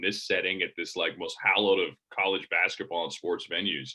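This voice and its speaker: A man's fairly low-pitched voice rushes along at a very fast pace. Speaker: college sports play-by-play broadcaster. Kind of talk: casual interview. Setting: video call. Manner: rambling with frequent repetitions.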